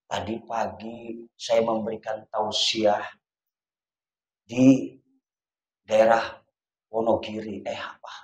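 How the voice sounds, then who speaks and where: A man's monotone, flat delivery at a very slow pace, with long, frequent pauses. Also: medium pitch for a man, big swings in loudness. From Jakarta (Betawi). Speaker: Islamic preacher. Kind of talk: sermon.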